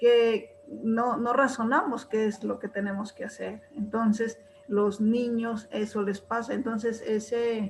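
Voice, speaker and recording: A woman speaks at a very slow pace with hardly any pauses and fairly even intonation. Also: fairly high pitch for a woman. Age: old. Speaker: retired teacher, webinar participant. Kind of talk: spoken comment in webinar Q&A.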